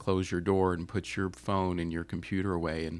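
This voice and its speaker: Music plays in the background while a man talks. His voice is very deep and low, with fairly even intonation. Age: 50s. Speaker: therapist. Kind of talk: interview. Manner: hesitant, many fillers.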